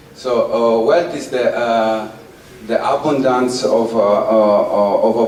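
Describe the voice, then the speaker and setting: A very slow voice in an Italian accent, with audible room echo and noticeable background noise. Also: man. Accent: Italian, mispronounces th. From Italy. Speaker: performance artist. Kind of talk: public talk to audience. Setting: outdoors in the sun. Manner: halting, many fillers.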